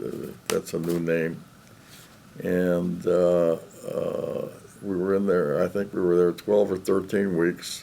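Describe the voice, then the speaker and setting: A man with a Chicago accent speaks at a very slow pace in a very deep, low pitch, with a dark, mellow tone and monotone, flat intonation. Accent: Chicago American English. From US Midwest, Chicago. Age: 90s. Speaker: war veteran. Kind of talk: oral history interview. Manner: halting, many fillers.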